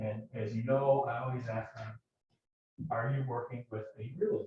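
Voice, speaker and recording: This man's medium-pitched voice is somewhat breathy and comes out monotone and flat. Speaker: mortgage lender. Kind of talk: business presentation. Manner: fast.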